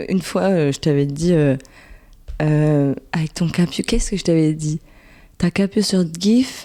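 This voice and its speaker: A woman with a dark, mellow tone and fairly low pitch talks at a fairly slow pace with ordinary pitch variation, leaving long, frequent pauses, in a very clean recording with a silent background. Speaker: podcast guest. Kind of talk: casual chat.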